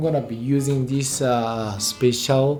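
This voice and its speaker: With music in the background and audible room echo, a man speaks at a fairly slow pace. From Japan. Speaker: wine vlogger. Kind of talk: casual chat.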